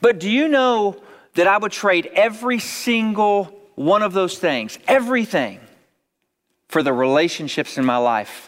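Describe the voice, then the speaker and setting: High male pitch with very wide pitch swings, delivered by a man at a fairly slow pace. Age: 40s. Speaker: pastor. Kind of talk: sermon. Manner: repeats words, conversational.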